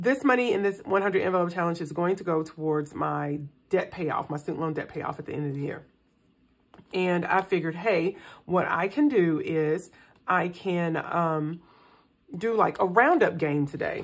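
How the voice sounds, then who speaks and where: Here a woman talks at a moderate pace in a fairly low voice. Her tone is relaxed. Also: ordinary pitch variation. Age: middle-aged. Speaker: personal finance vlogger. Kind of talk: casual chat while cash stuffing. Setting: home recording. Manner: relaxed, with fillers and repetitions. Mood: relaxed, upbeat. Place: home room. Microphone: phone near.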